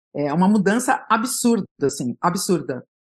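A woman speaks at a fairly slow pace in a medium pitch. Her voice makes very wide pitch swings. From São Paulo, East Zone. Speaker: journalist. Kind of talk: interview conversation.

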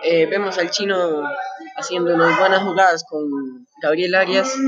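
With noticeable background noise behind it, the voice proceeds at a fairly slow pace. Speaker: sports commentator. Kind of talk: live sports commentary, play-by-play of a match. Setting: stadium.

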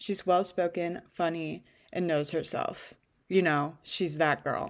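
A woman talks at a fairly slow pace in an ordinary speaking voice. The recording is very clean, with a silent background. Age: 20s. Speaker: podcast host and freelance writer. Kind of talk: casual chat; reading aloud.

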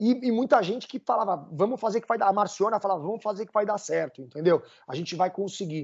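A man speaks at a very fast pace in a high pitch. His loudness swings widely, with ordinary pitch variation. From Brazil. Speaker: summer camp director. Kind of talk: podcast interview.

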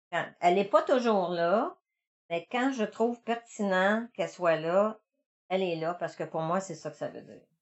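The speaker talks at a fairly slow pace with lively intonation. The loudness swings widely. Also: woman, medium pitch for a woman. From Quebec, Montreal. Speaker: visual artist. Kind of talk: interview. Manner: halting.

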